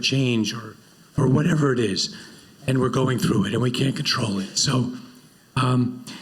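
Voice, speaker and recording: A breathy man's voice at medium pitch, moderate pace and ordinary pitch variation, with audible room echo and noticeable background noise. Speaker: panel moderator. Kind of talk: panel discussion.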